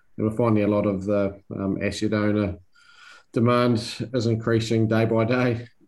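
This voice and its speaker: With a New Zealand accent, a man speaks at a moderate pace and medium pitch, his intonation monotone and flat and his loudness very even. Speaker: country manager at a construction technology company. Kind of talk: interview. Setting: video call. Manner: halting, many fillers.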